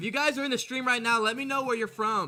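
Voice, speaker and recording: Man's raised, projected voice at a very fast pace, with music in the background. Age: 20s. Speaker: sports streamer. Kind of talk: live stream chat. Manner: animated.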